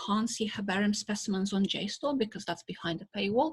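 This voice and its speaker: A woman with a medium pitch and ordinary pitch variation sounds somewhat breathy. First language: Russian. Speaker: botanist. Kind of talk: lecture.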